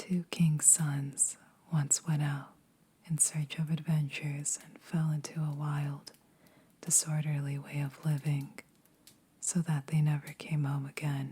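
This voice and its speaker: Soft-spoken and monotone, with flat intonation, the voice moves at a fairly slow pace over noticeable background noise. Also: woman, very deep, low pitch for a woman. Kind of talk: story reading.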